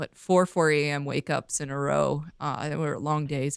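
With a western Canadian accent, a woman speaks at a moderate pace and a very deep, low pitch, in a dry, close sound with no echo and a very clean recording with a silent background. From Vancouver, British Columbia, Canada. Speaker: fishing photographer and filmmaker. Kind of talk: casual interview.

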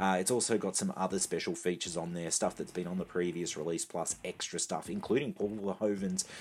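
With an Australian accent, a man speaks at a very fast pace in a very deep, low pitch with ordinary pitch variation. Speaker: home video segment contributor. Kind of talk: scripted segment.

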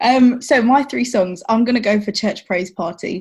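Somewhat breathy, a woman with a London accent talks at a moderate pace with ordinary pitch variation on a very clean recording with a silent background. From West London. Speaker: church worship assistant and youth choir leader. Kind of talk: casual chat.

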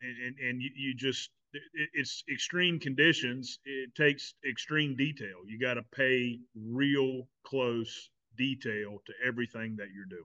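A man talks fairly slowly at a medium pitch with ordinary variation. His loudness swings widely. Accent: Southern US. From South Carolina. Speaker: podcast host. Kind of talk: casual chat. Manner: repeats words, halting.

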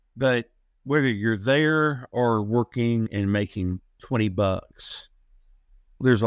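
At a fairly slow pace, a man with an American accent and medium pitch uses an ordinary speaking voice with ordinary pitch variation, recorded dry and close with no echo, very cleanly over a silent background. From US South. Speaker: former professional wrestler. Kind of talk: interview.

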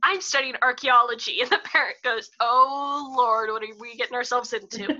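A woman speaks at a high pitch. Her tone is bright and sharp. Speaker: student podcast host. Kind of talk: casual interview.

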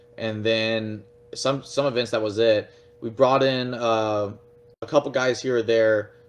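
With an American accent, a man at a medium pitch speaks fairly slowly in a flat monotone over noticeable background noise. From Texas, Fort Worth. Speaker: pro paintball player and anodizing shop owner. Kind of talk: casual interview.

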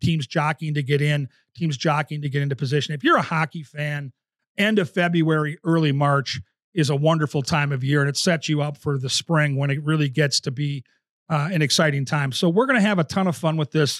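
With an American accent and an unremarkable speaking voice, a man talks at a fairly quick pace in a fairly high pitch with fairly even intonation, the sound dry and close with no echo. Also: very clean recording, silent background. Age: 50s. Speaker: podcast host and hockey TV analyst. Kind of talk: casual interview.

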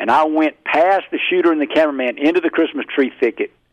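This man speaks with a Southern US accent at a fairly high pitch, with ordinary pitch variation. The sound is dry and close, with no echo. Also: quiet background. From Mississippi. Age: 50s. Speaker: hunting call maker. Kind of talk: interview.

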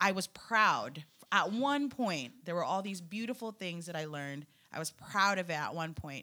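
An animated voice with a bright, sharp tone and lively intonation comes through on a very clean recording with a silent background. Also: woman. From Philippines. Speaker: photographer. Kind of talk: casual chat.

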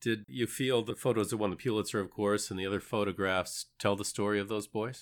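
On a very clean recording with a silent background, a man with a plain, everyday voice speaks at a fairly low pitch, fairly quickly, with fairly even intonation. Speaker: podcast host interviewer. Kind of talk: interview, introducing guest.

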